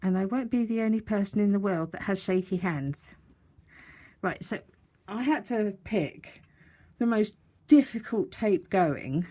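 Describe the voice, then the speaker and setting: A woman with an English accent speaks in a dark, mellow tone, somewhat breathy. She leaves long, frequent pauses. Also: medium pitch for a woman, lively intonation, fairly slow pace. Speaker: papercraft tutorial maker. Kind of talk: tutorial. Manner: casual, chatty. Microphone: close to mic, audible breathing.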